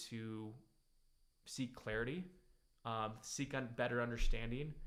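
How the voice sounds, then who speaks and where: Audible room echo surrounds a man's voice. He has an American accent and a medium pitch. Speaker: business coach show host. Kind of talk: casual monologue. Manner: hesitant, many fillers.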